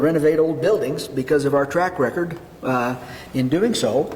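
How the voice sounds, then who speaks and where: This man talks at a fairly quick pace, his pitch fairly high with ordinary variation. The room echo is audible, and noticeable background noise runs underneath. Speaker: mayor chairing city council. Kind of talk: council meeting discussion. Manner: halting, repeats words.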